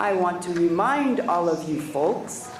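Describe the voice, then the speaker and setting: A woman speaks fairly slowly with lively intonation. Noticeable background noise and audible room echo surround her voice. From Hawaii, Waimanalo (Oahu). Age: 60s. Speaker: independence activist giving public testimony. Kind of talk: public testimony. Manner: impassioned.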